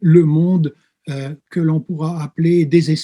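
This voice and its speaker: A man speaks at a very slow pace in a high pitch, with a dark, mellow tone. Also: dry, close sound with no echo. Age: 60s. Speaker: pastor and theology professor. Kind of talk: interview. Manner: hesitant, frequent filler sounds.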